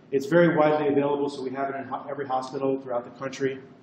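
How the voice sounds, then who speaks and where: A man is speaking in a space with audible room echo. Noticeable background noise can be heard too. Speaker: cardiovascular radiologist. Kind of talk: lecture.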